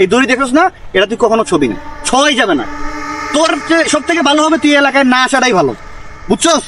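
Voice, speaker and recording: Over noticeable background noise, a man speaks at an extremely high pitch with lively intonation and very even loudness. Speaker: vlogger. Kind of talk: staged comedy skit. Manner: animated.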